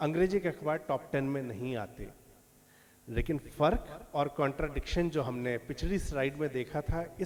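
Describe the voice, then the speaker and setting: He is a man with a fairly high pitch. His pace is moderate, with ordinary pitch variation. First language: Maithili (speaking Hindi). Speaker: lecturer / speaker. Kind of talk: lecture. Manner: halting, with filler pauses.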